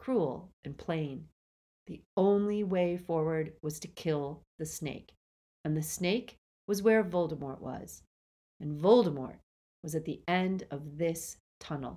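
A woman with a plain, everyday voice speaks at a fairly slow pace and a fairly low pitch, with ordinary pitch variation and big swings in loudness. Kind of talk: audiobook-style dramatic narration of a novel, reading aloud with character voices.

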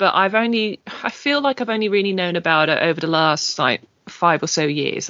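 The speaker has lively intonation and an English accent. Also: woman. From England. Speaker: podcast host. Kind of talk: casual chat.

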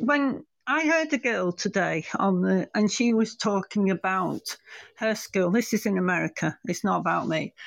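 With a British accent, a woman speaks at medium pitch and a moderate pace with lively intonation and very even loudness, in a dry, close sound with no echo over a quiet background. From England. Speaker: caller. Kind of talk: casual call-in chat.

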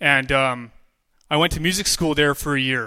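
This man speaks at a moderate pace. His voice is fairly high-pitched with a bright, sharp tone. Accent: Western Canadian. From British Columbia, Canada. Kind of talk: testimony.

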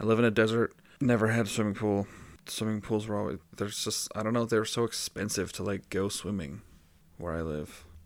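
An ordinary speaking voice from a man, fairly low and fairly quick, with fairly even intonation, on a very clean recording with a silent background. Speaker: podcast host. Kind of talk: casual banter. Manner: deadpan, joking.

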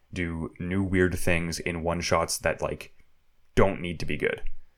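A man's very deep, low voice at a fairly slow pace. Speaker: podcast host. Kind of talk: casual chat.

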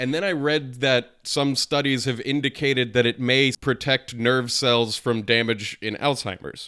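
A man speaks in a normal speaking voice at medium pitch. He hardly pauses, and his intonation stays fairly even. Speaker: podcast co-host. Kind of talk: casual chat.

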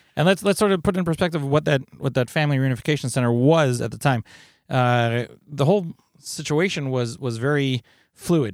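A man with an ordinary speaking voice talks fairly quickly at a fairly high pitch, with ordinary pitch variation. The recording is very clean with a silent background. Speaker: podcast host for volunteer EMS organization. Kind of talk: podcast interview conversation.

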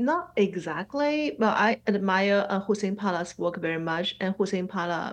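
A woman's voice in a Chinese accent. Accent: Mandarin-accented English. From Shanghai, China. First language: Mandarin. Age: 40s. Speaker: abstract painter and art teacher. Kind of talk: casual interview. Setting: video call. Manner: halting, many fillers.

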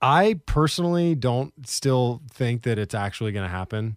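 Lively intonation and a West Coast accent come through in a very clean recording with a silent background and a dry, close sound with no echo. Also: man. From Portland, Oregon. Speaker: podcast co-host, former golf professional. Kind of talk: casual chat.

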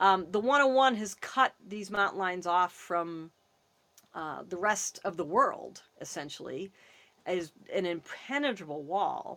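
A woman speaks at a fairly slow pace in a bright, sharp tone. Her medium pitch carries lively intonation. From US Northeast, Massachusetts. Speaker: wildlife conservationist. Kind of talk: interview.

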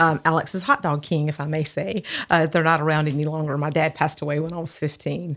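A woman with a Southern US accent talks at a very fast pace in a very deep, low pitch. Her intonation is monotone and flat, on a very clean recording with a silent background. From Alabama, Birmingham area. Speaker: nonprofit founder. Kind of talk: interview.

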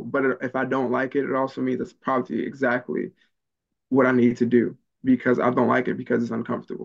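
This man has an American accent and a medium pitch with ordinary variation. He talks very fast, with vocal fry. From Maryland, later US South. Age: 20s. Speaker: public speaker. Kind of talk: interview conversation. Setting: call.

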